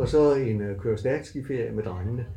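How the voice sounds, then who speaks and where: Somewhat breathy, a man talks at a fairly slow pace in a medium pitch, with audible room echo around him. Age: 60s. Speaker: university lecturer. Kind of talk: casual interview.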